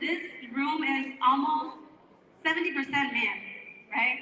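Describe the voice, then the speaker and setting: A woman speaks in a raised, projected voice at a high pitch and a moderate pace. Audible echo fills the room. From northern Mexico (Chihuahua). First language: Spanish. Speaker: radio host and real estate wholesaler. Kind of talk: speech to a live audience at a networking event. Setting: event room with live audience. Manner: animated.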